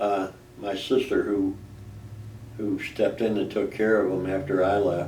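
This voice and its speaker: With an American accent and a fairly low pitch, a man speaks amid audible room echo. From Chicago, US Midwest. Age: 70s. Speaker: war veteran. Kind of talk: oral history interview. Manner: halting, with repetitions and fillers.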